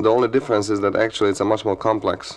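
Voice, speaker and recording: Noticeable background noise accompanies a man speaking with a Hungarian accent. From Hungary. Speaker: guitarist and sitarist. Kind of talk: radio interview answer. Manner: casual, conversational.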